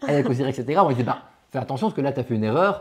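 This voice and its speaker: Lively intonation comes from a man. He speaks at a very fast pace over noticeable background noise. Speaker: board game channel host. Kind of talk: casual chat. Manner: loud.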